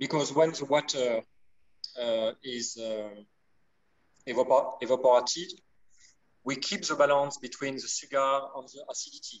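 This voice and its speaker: At a moderate pace and in a French accent, the speaker uses ordinary pitch variation, big swings in loudness and long, frequent pauses. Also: man, fairly high pitch for a man. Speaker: winemaker. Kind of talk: interview. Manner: halting.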